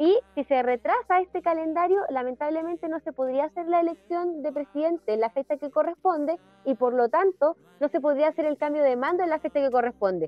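A woman with a Chilean accent speaks loud and at a high pitch. Her pace is fairly quick, with ordinary pitch variation. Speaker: podcast co-host. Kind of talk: casual chat. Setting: live stream.

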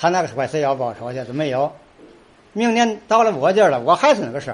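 A man talking at a very fast pace, fairly high-pitched, with very wide pitch swings. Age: 70s. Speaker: folk pole-climbing troupe leader. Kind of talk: interview. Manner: halting.

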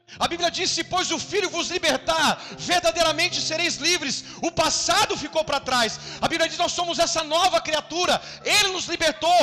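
A man with an extremely high pitch uses a raised, projected voice at a moderate pace over noticeable background noise. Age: 40s. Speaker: pastor. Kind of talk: sermon. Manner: animated.

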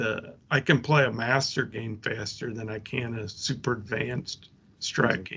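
A man speaks with an American accent in an ordinary speaking voice. His intonation is fairly even. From rural US. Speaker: tabletop sports gamer. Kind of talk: casual chat.

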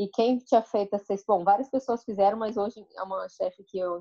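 A woman speaks in a normal speaking voice. She moves at a fairly quick pace. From Brazil, Espírito Santo (Colatina). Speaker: wine merchant. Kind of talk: interview.

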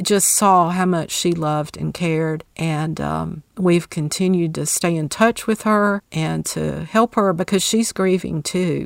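A woman at a very slow pace with hardly any pauses and fairly even intonation, in a dry, close sound with no echo on a very clean recording with a silent background. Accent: Southern US. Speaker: author, speaker and caregiver. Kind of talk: interview.

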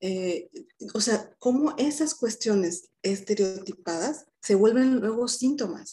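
A woman's fairly high, somewhat breathy voice with a dark, mellow tone, lively intonation and a very slow pace. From Mexico, Mérida, Yucatán. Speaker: psychologist. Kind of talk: interview conversation.

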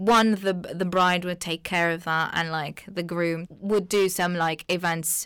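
With an Arabic accent, a woman speaks at a fairly slow pace in a fairly low pitch, her intonation monotone and flat, with hardly any pauses. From Tunisia, small coastal town. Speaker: journalism student. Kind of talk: casual chat.

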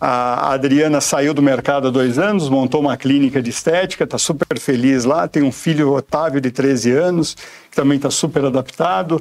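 Keeping a moderate pace with hardly any pauses, a man speaks in an ordinary speaking voice at a fairly high pitch with ordinary pitch variation. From São Paulo, Brazil. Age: 40s. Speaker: insurance sales executive. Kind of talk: interview. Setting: studio.

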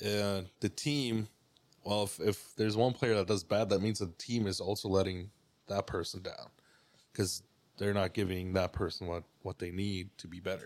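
In a very clean recording with a silent background, a man with an ordinary speaking voice talks at a moderate pace, his fairly low pitch carrying fairly even intonation. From Mexico (Cuauhtémoc, Chihuahua), moved to Canada at 16. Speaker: photographer and videographer. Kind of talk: casual chat.

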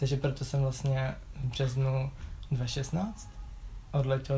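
A man speaks very slowly at a medium pitch, his tone dark, mellow and somewhat breathy. Room echo is audible. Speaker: university student. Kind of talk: casual interview.

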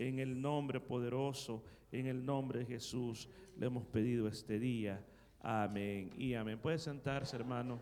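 With a normal speaking voice, a man talks at a fairly slow pace and medium pitch, his intonation fairly even and his loudness very even. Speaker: pastor. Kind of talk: sermon. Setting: church.

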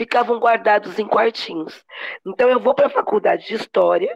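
Dry and close, with no echo, the woman's voice comes through. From Brazil, Campinas (São Paulo state). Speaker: historian and cultural community leader. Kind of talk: interview.

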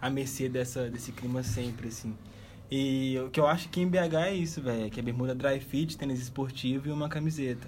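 A man with a somewhat breathy medium-pitched voice speaks at a fairly quick pace with ordinary pitch variation and audible room echo. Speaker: podcast host. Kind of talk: casual chat.

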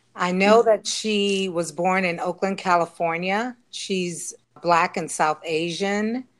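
With an unremarkable speaking voice, a woman talks at a fairly slow pace and fairly low pitch with ordinary pitch variation, recorded very cleanly against a silent background. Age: 50s. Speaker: family member guest. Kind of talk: casual panel discussion.

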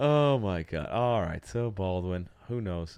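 A man's ordinary pitch variation comes through against a quiet background. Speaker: podcast host. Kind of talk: casual banter, crude comedy chat. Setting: studio. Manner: joking, fast, irreverent.

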